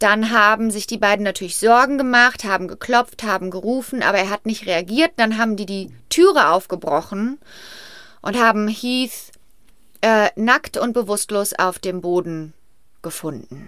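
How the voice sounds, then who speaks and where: On a very clean recording with a silent background, a woman speaks at a fairly slow pace in a bright, sharp tone with ordinary pitch variation. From Rhineland, western Germany. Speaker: podcast co-host. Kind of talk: casual storytelling chat.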